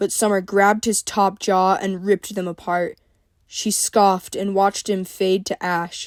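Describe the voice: The clip is plain reading aloud. Nothing more than that is heard.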